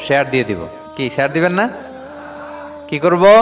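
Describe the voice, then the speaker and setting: His pitch swings very widely as this man talks. Background noise is noticeable. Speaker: Islamic preacher. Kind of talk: Islamic sermon (waz), Bangla with English phrases. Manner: fluent, persuasive, explanatory, with rhetorical questions to the audience.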